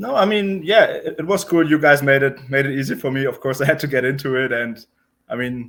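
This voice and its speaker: Someone with a German accent talks at a fairly quick pace, the intonation lively. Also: man, fairly high pitch for a man. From Germany, Berlin. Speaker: professional poker player. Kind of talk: interview.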